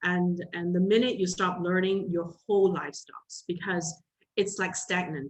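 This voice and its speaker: Words come at a fairly slow pace in a somewhat breathy voice. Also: woman. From Singapore. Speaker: entrepreneur and single mother. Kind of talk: motivational interview talk. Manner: animated.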